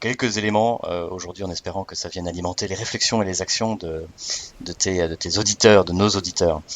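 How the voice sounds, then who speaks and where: A man's voice, pitched very deep and low, moves at a moderate pace with fairly even intonation. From Alsace, France, with American mother. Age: 40s. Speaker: business school training project manager. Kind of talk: podcast interview. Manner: hesitant, many fillers and repetitions.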